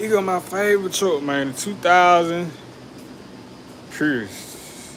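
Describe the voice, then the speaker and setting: A man's fairly high voice at a very slow pace, lively in intonation, amid noticeable background noise and audible room echo. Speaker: social media livestreamer. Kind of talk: casual livestream chat. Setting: livestream.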